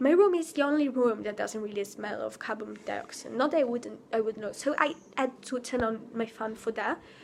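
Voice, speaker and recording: Against noticeable background noise, a woman with a fairly high voice talks with hardly any pauses. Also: ordinary pitch variation, moderate pace. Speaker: vlogger. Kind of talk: spontaneous vent vlog. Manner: halting.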